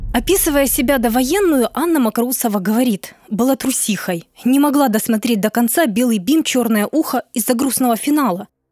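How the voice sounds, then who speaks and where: This woman talks at a moderate pace in a high voice with lively intonation, her loudness very even and the sound dry and close with no echo. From Luhansk, eastern Ukraine. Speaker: podcast host and narrator. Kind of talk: scripted narration.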